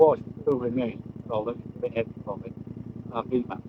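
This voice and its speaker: This man talks at a moderate pace in a medium pitch, with noticeable background noise behind him. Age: 70s. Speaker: passer-by, retired motorcyclist. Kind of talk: casual chat.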